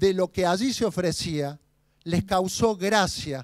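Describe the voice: Someone reads aloud plainly.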